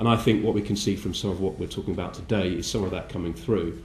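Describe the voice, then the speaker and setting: A man speaks with a very deep, low pitch at a very fast pace. Audible room echo is present. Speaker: politician. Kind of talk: conference speech. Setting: breakfast briefing event. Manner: halting with many fillers.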